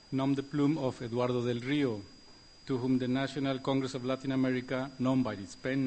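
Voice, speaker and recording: Audible room echo surrounds a man speaking with a Mexican accent. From Mexico. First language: Spanish. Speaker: political cartoonist. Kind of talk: prepared award speech. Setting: stage at gala.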